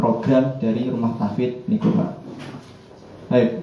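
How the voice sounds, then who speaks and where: The man's medium-pitched voice carries audible room echo and noticeable background noise. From Central Java, Kebumen. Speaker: Quran teacher. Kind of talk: workshop instruction. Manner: formal.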